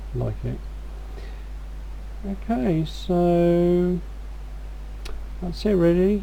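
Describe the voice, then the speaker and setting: Audible room echo surrounds a voice with an English accent. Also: woman. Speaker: gaming video creator. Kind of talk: game walkthrough commentary. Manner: casual, hesitant with fillers.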